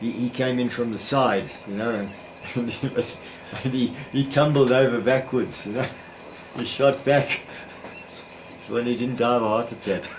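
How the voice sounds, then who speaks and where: The man's medium-pitched voice is monotone and flat, at a moderate pace with long, frequent pauses. Noticeable background noise runs under it. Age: 80s+. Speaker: retired science teacher. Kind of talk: interview answer.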